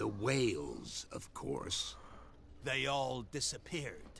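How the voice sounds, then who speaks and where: Over clear background noise, a man puts on a character voice at medium pitch and a very slow pace. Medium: video game.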